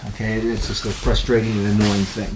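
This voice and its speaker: Noticeable background noise runs behind the recording. A man speaks at a very fast pace. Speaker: grappling instructor. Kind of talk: instructional video.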